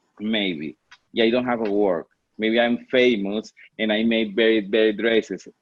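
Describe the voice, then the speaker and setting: Medium-pitched male voice with a Spanish accent. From Venezuela. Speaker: fashion designer. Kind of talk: interview. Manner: halting.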